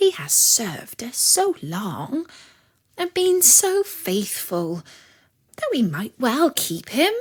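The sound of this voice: A woman's put-on character voice, fairly high and slow, with very wide pitch swings and a slightly husky edge.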